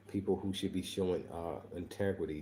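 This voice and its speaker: Quiet and somewhat breathy, a man with an American accent speaks at a fairly quick pace in a very deep, low pitch, his dark, mellow tone held to a monotone, flat intonation. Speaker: online show host. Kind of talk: livestream commentary. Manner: speaking quietly.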